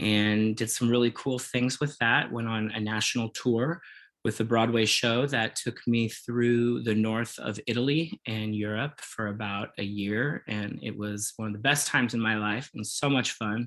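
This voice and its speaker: A man with an American accent uses an ordinary speaking voice at a medium pitch and moderate pace, with fairly even intonation and hardly any pauses. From Kansas, US Midwest. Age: 40s. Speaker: makeup artist and former musical theater performer. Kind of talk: interview, casual chat.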